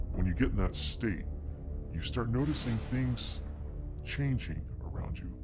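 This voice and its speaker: Using a put-on character voice, a man speaks with long, frequent pauses while loud background noise plays behind him. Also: moderate pace. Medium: short film. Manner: earnest, hesitant, full of ums.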